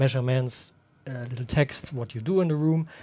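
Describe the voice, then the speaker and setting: A man with a German accent, somewhat breathy, dark and mellow in tone, on a very clean recording with a silent background. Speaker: room acoustics consultant. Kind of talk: livestream workshop. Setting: livestream. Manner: halting, with many fillers.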